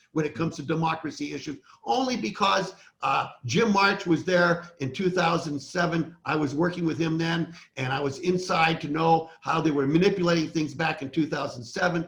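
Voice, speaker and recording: Fairly high-pitched speech from a man in an unremarkable speaking voice, moderately paced, with ordinary pitch variation. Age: 60s. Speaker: election integrity activist. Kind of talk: casual interview conversation.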